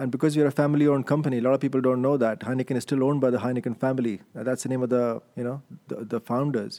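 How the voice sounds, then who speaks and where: Speaking at a very fast pace with hardly any pauses, a man uses a dark, mellow tone, medium pitch and monotone, flat intonation. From India (Delhi). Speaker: global brand director. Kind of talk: interview. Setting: office, sharing one microphone.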